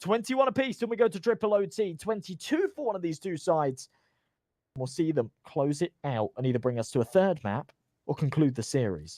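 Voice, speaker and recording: Loud and dark, mellow in tone, a man speaks at a fairly high pitch with very wide pitch swings in a dry, close recording with no echo. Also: fairly quick pace. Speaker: esports caster. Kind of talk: live commentary. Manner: fast.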